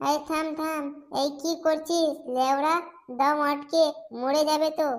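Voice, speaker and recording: This is a cartoonish character voice. Its intonation is monotone and flat. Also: woman, high pitch for a woman, moderate pace. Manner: crude, jokey.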